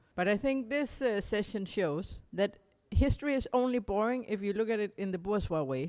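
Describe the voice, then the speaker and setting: A speaker with a Danish accent talks with lively intonation. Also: woman, medium pitch for a woman, moderate pace. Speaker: political activist speaker. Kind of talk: conference talk summing up discussion. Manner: halting, with repetitions and self-corrections.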